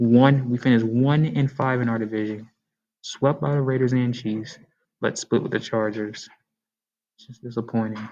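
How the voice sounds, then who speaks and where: Quiet and dark in a mellow way, a man's medium-pitched voice moves at a moderate pace with fairly even intonation, big swings in loudness, and long, frequent pauses. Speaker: sports YouTuber. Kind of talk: casual sports commentary. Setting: library. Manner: quiet, low volume.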